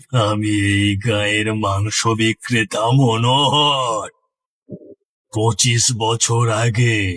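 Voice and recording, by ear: In a cartoonish character voice of medium pitch, a man speaks at a very slow pace.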